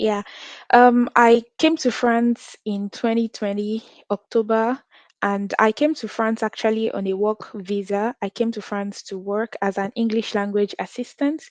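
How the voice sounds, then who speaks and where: With a Nigerian accent, a woman speaks at a fairly slow pace in a fairly high pitch. The sound is dry and close with no echo, and the background is quiet. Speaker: international student and content creator. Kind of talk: interview.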